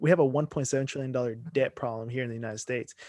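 This is a normal speaking voice with ordinary pitch variation. The recording is very clean with a silent background, and the sound is dry and close with no echo. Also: man. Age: 20s. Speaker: podcast host. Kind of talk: casual interview.

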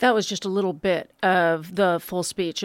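A plain, everyday voice from a woman, medium in pitch, at a moderate pace on a very clean recording with a silent background. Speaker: radio host. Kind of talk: radio magazine show. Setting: studio.

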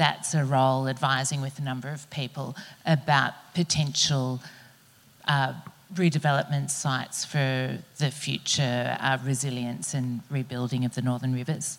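In an Australian accent, a woman speaks at a moderate pace with a very deep, low pitch and monotone, flat intonation. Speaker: panel chair, professor. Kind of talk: panel moderation. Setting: stage with audience.

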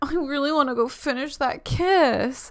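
In a put-on character voice, the speaker whines at a high pitch and a moderate pace. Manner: whining.

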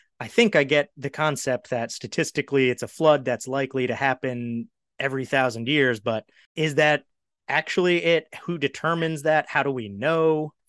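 A man with an American accent and an unremarkable speaking voice talks in a fairly high pitch with ordinary pitch variation, the sound dry and close with no echo and a quiet background. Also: moderate pace. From Maryland, US. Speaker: podcast host, former reporter. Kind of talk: casual interview.

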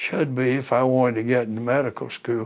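A man with a Southern US accent, medium pitch and fairly even intonation. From southeastern North Carolina. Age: 80s+. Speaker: war veteran. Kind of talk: oral history interview. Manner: understated.

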